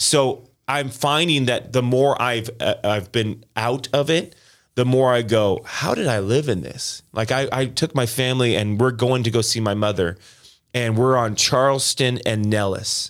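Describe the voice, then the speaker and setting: Recorded very cleanly with a silent background, a man with a General American accent uses a normal speaking voice at a medium pitch with ordinary pitch variation. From Las Vegas, Nevada, US. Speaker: pastor. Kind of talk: testimony.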